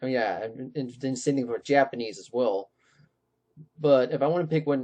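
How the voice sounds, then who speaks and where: Against a quiet background, a man with a dark, mellow tone speaks at a moderate pace with ordinary pitch variation, big swings in loudness and long, frequent pauses. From California. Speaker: vlogger; blogger showing his pages. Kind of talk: casual vlog. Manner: halting. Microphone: webcam.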